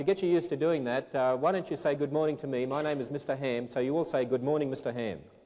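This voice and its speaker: A man's fairly high-pitched voice in an Australian accent, very fast with hardly any pauses and fairly even intonation. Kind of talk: instructional, teacher-like.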